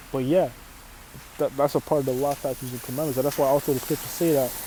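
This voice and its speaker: There is noticeable background noise. Over it, a man speaks at a medium pitch with fairly even intonation. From Canada. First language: Arabic. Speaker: religious teacher. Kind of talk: sermon. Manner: casual, repetitive with fillers.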